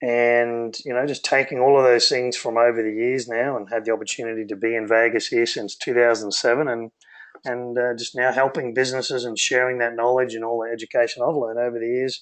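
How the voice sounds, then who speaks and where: Speaking at a fairly quick pace, a man with a medium pitch and an Australian accent keeps a monotone, flat intonation. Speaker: business consultant, co-founder. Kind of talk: webinar presentation.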